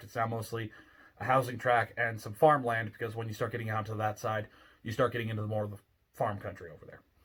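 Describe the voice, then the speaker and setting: Very fast speech from a man. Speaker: ghost story narrator. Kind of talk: casual talk to camera. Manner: grumpy, cynical, sarcastic.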